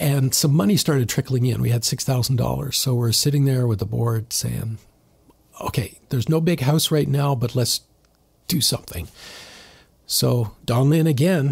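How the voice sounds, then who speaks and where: Somewhat breathy and with very even loudness, the voice has a Canadian accent, a moderate pace and ordinary pitch variation. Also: man, medium pitch for a man. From southern Ontario, Canada. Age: 60s. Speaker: church member sharing his story. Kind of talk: podcast interview, personal testimony. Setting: studio, sitting across from the host.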